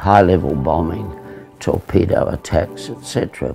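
A man speaks at a very deep, low pitch while clear music plays in the background. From Australia. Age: 80s+. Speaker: navy veteran. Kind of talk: interview answer. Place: home room.

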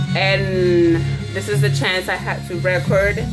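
A woman speaking at a very slow pace over loud music in the background. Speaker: beauty vlogger. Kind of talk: casual vlog chat. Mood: relaxed, low energy. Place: home room. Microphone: webcam.

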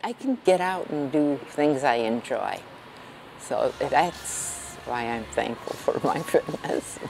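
Very slow speech from a woman, over clearly audible background noise. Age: 70s. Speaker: senior CrossFit athlete. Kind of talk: interview answer.

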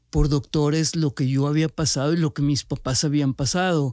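A man with a fairly high pitch and a dark, mellow tone speaks with fairly even intonation in a very clean recording with a silent background and a dry, close sound with no echo. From Monterrey, Nuevo León, Mexico. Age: 40s. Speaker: cancer survivor and entrepreneur. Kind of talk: personal testimony.

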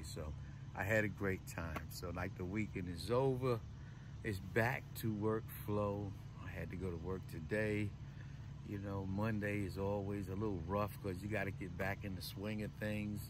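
A man speaks at a moderate pace with fairly low pitch and fairly even intonation. The sound is dry with no echo, though there is noticeable background noise. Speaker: van life vlogger. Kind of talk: casual vlog chat. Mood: cheerful, grateful. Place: car. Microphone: phone near.

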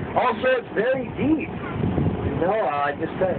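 A man's voice at a fairly quick pace, with loud background noise. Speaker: boat tour guide. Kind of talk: tour guide commentary. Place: boat.

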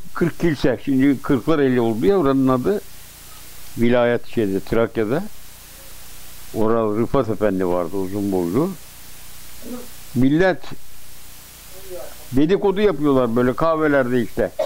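Medium-pitched man's voice with very wide pitch swings, fairly slow pace, long, frequent pauses and light background noise. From Darıca, Gebze, Kocaeli, Turkey. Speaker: elderly local recounting history. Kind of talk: interview answer. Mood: reminiscing, animated storytelling. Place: home room.

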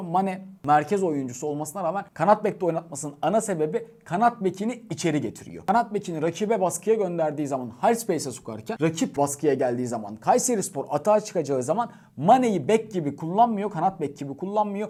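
A man with a high pitch and a dark, mellow tone talks at a fairly quick pace with lively intonation and hardly any pauses. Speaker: football YouTuber and sports news editor. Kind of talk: match preview commentary to camera.

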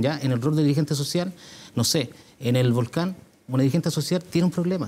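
At a very fast pace, a man with a fairly high, somewhat breathy voice and a dark, mellow tone speaks with ordinary pitch variation. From Puente Alto, Santiago, Chile; Chile. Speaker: mayoral candidate; candidate. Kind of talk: televised political debate. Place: studio. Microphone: lapel.

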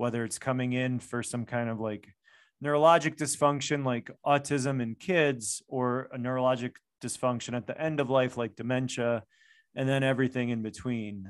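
Speaking at a moderate pace with an American accent, a man sounds dry with no echo against a quiet background. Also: fairly even intonation. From US, Chicago. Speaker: functional medicine doctor. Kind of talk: interview. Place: home room. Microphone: studio mic.

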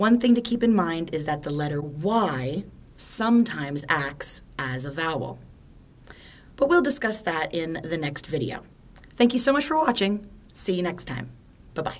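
Her pitch fairly low, a woman with an American accent speaks at a moderate pace with very wide pitch swings and long, frequent pauses. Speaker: English teacher. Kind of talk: language lesson to camera. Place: home room. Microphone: phone near.

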